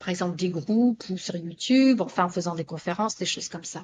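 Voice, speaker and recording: A somewhat breathy voice with ordinary pitch variation over a quiet background. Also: woman. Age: 60s. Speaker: spiritual therapist and author. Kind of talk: interview testimony. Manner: halting, many repetitions and fillers.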